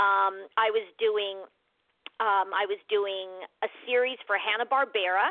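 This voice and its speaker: Her General American accent comes through as the woman speaks at a fairly slow pace. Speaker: actress. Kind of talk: casual interview chat. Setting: radio interview.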